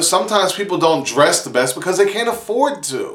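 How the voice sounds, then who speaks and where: A man with a Pittsburgh accent talks in an animated tone with lively intonation. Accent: Pittsburgh accent, stronger when excited. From Pittsburgh, US. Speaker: vlogger. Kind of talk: casual vlog monologue.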